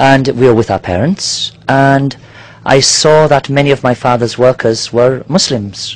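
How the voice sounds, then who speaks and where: A man with a British accent speaks at a medium pitch with ordinary pitch variation. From Nigeria. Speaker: marina diving company worker. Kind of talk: interview. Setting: outdoors on a yacht in a marina. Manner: hesitant, many fillers.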